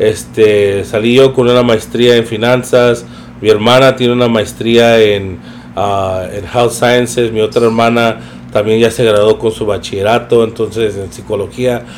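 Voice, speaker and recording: Through noticeable background noise, a man talks fairly slowly at a medium pitch in a monotone, flat intonation. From East Los Angeles, US. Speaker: podcast guest, nonprofit volunteer. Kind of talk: casual chat.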